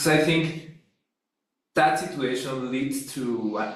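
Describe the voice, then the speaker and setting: The pace is fairly slow. Room echo is audible. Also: man. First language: Spanish. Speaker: academic philosopher. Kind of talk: academic discussion. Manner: halting.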